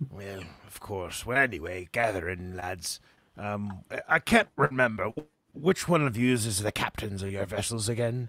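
A man puts on a gruff character voice at fairly low pitch, with ordinary pitch variation, a moderate pace and big swings in loudness, recorded very clean, dry and close, with a silent background and no echo. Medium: actual play. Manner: gruff, uses "be" for verbs.

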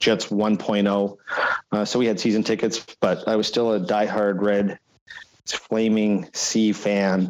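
A man in a flat monotone, very slow and very even in loudness. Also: fairly low pitch for a man. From Alberta. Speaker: company president and former radio executive. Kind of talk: casual chat.

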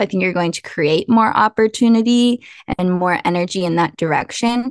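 Speaking at a fairly slow pace, a woman has an ordinary speaking voice at medium pitch with ordinary pitch variation, recorded with a dry, close sound, no echo and a quiet background. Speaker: author and podcast co-host. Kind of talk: casual interview chat. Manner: casual, conversational.

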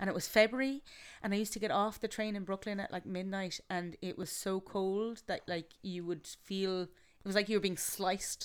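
In a Galway accent, a woman speaks at a medium pitch with fairly even intonation. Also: moderate pace. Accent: Irish, Galway. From Galway, Ireland. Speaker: theatre maker and actor. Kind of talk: casual interview chat.

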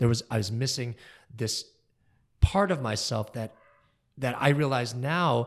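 In a very clean recording with a silent background, a man with an American accent talks at a moderate pace, his medium-pitched voice somewhat breathy. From US Midwest, Kalamazoo, Michigan. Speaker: concert pianist. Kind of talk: interview. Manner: animated.

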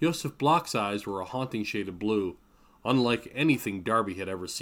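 Someone reads a text aloud in a natural voice.

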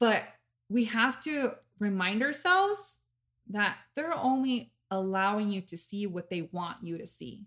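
On a very clean recording with a silent background, a woman speaks at a fairly slow pace and fairly high pitch, with lively intonation and big swings in loudness. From Mexican-American. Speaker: podcast host. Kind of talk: casual chat. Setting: studio.

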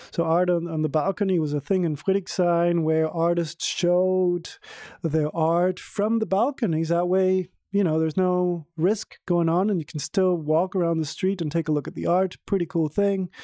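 Relaxed in tone, a man speaks at a moderate pace with a high pitch, a dark, mellow tone and fairly even intonation. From Venezuela. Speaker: tour guide. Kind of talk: interview.

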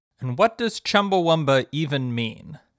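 A man's fairly high, plain, everyday voice with lively intonation at a moderate pace, on a very clean recording with a silent background. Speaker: podcast host. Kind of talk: scripted podcast narration.

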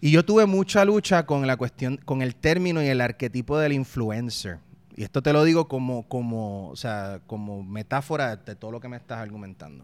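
A man with a Puerto Rican accent at medium pitch, moderate pace and hardly any pauses, his loudness swinging widely. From Puerto Rico (partly raised in Mexico). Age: 30s. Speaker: political satirist and salsa singer. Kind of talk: interview.

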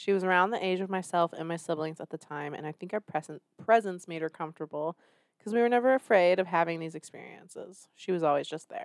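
The recording is very clean, with a silent background and a dry, close sound with no echo. A woman talks at a very fast pace with big swings in loudness. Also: fairly low pitch for a woman, ordinary pitch variation. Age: 30s. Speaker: podcast host. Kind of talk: casual banter comedy chat.

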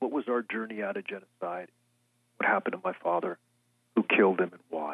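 A man with an American accent talks at a fairly quick pace, his fairly low voice showing ordinary pitch variation. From California, Fresno, San Joaquin Valley. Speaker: author and journalist. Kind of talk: interview.

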